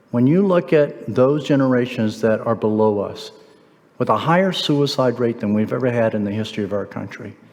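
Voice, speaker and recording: Over noticeable background noise, a man of medium pitch talks at a fairly quick pace with lively intonation. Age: 60s. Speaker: guest speaker at a men's church event. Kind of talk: motivational talk. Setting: church hall with live audience.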